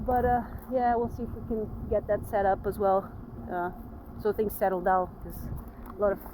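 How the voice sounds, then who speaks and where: Speaking at a moderate pace with long, frequent pauses, a woman keeps a medium pitch and fairly even intonation. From Portugal. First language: Portuguese. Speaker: vlogger. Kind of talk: casual chat.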